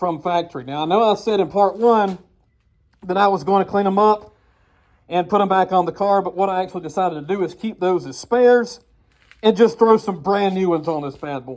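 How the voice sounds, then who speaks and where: Against a quiet background, a man talks loudly at a fairly quick pace, his high voice showing ordinary pitch variation. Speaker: car repair YouTuber. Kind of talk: tutorial. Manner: casual, talking louder. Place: garage. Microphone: phone near.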